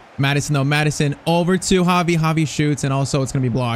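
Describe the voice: Speaking at a very fast pace, a man uses a fairly high pitch with ordinary pitch variation.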